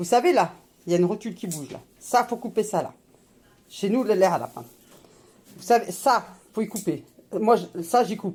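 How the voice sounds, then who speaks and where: Speaking at a moderate pace, the voice is animated and somewhat breathy, with big swings in loudness, long, frequent pauses and ordinary pitch variation. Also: woman, medium pitch for a woman. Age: 50s. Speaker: YouTuber, homemaker mother. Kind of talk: cooking tutorial vlog. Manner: casual, informal.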